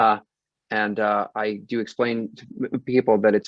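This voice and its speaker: Speaking in a monotone, flat intonation, a man with a fairly low pitch keeps a moderate pace. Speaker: composer and choir director. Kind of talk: panel discussion.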